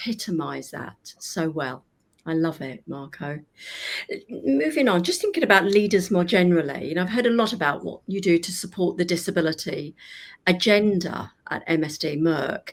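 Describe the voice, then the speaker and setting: A woman with a British accent and a fairly low voice speaks at a moderate pace in a warm, enthusiastic tone with ordinary pitch variation. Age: 60s. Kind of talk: interview conversation.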